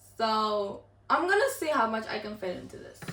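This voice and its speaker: A woman with a fairly high pitch and an animated tone, with audible room echo. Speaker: cooking youtuber. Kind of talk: casual cooking tutorial.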